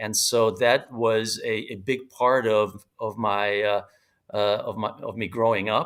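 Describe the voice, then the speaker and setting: With a Hungarian accent, a man talks at a fairly slow pace in a medium pitch, his intonation monotone and flat. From United States, moved from Hungary as a young child. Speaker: author and business strategist. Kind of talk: podcast interview. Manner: halting, many fillers and repetitions.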